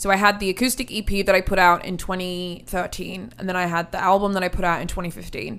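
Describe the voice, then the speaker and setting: A woman's very fast speech with hardly any pauses and fairly even intonation. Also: medium pitch for a woman. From England, Hereford. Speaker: country singer-songwriter. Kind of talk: casual interview.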